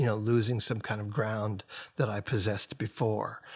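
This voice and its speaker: A somewhat breathy man's voice at medium pitch, moderate pace and fairly even intonation, on a very clean recording with a silent background. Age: 60s. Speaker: singer-songwriter and record producer. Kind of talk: podcast interview. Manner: halting.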